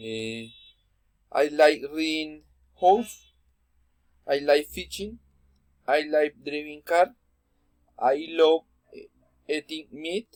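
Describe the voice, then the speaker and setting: Speaking with a Spanish accent, a man uses a fairly high pitch, ordinary pitch variation and big swings in loudness. His pace is very slow, with long, frequent pauses, and the sound is dry and close with no echo. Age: 20s. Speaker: student. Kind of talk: class presentation. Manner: halting.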